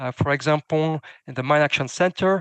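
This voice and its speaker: The speaker talks at a moderate pace. The background is quiet. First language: not English. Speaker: demining standards expert. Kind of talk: panel Q&A answer. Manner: hesitant, many fillers and false starts.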